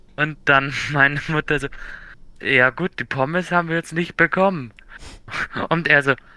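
A man speaks at a fairly slow pace with a fairly high pitch and ordinary pitch variation, his tone bright and sharp. The recording is very clean with a silent background, and the sound is dry and close with no echo. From Bavaria, Germany. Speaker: podcast co-host. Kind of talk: casual chat.

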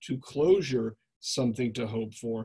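Ordinary pitch variation in a man's somewhat breathy voice. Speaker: webinar host and moderator. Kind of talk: moderated Q&A. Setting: online webinar.

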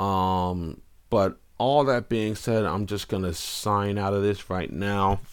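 On a very clean recording with a silent background, a man with a fairly low pitch and ordinary pitch variation speaks at a very slow pace. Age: 30s. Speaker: entertainment commentator and live streamer. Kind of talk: live stream monologue. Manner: casual, conversational with fillers.

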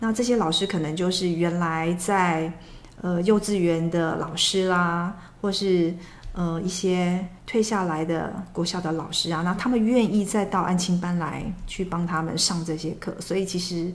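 A woman speaks at a fairly slow pace with a fairly low pitch and fairly even intonation, and audible room echo. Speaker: former flight attendant. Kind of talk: casual chat.

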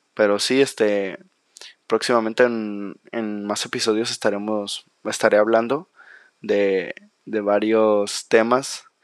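This man talks at a very slow pace. His fairly low voice stays monotone and flat. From Mexico, Manzanillo, Colima. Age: young. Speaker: podcaster, university student. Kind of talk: solo podcast monologue. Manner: halting, many fillers and repetitions.

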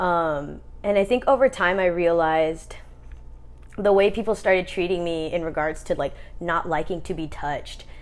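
This woman has an ordinary speaking voice, fairly low in pitch with ordinary pitch variation, talking at a moderate pace on a very clean recording with a silent background. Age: 30s. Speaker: podcast host. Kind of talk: casual chat.

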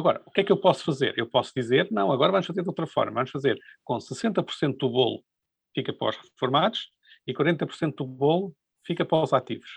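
A man delivers his words fairly quickly, his voice somewhat breathy. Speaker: economics professor. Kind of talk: interview. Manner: halting, with repetitions.

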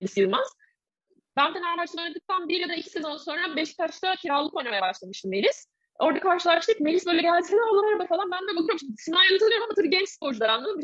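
The woman's delivery is very fast. Her pitch rises and falls very widely. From Turkey, Bursa. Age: 30s. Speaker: former volleyball player, mindfulness coach. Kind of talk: casual interview.

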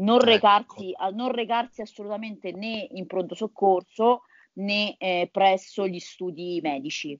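In an unremarkable speaking voice, a woman speaks at a fairly slow pace with medium pitch, ordinary pitch variation and big swings in loudness. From Italy, Lazio (Viterbo). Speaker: nutritionist biologist and virologist. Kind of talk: interview.

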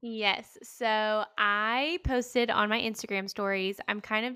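The voice has an American accent. The sound is dry and close with no echo, on a very clean recording with a silent background. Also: woman. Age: 20s. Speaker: podcast host and teacher. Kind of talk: casual chat.

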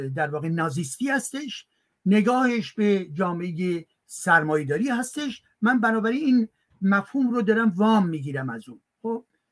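At a moderate pace, a man talks in a high pitch with very wide pitch swings. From Iran. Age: old. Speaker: academic guest speaker. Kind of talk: lecture-style talk and Q&A. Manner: formal.

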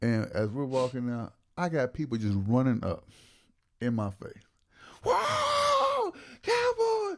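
Long, frequent pauses break up a man's very slow delivery. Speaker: podcast co-host. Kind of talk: casual banter between friends.

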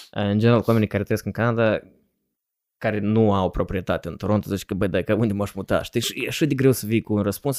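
In a very clean recording with a silent background and a dry, close sound with no echo, a man speaks at a very fast pace with a fairly low pitch and fairly even intonation. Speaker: podcast co-host. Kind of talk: casual chat.

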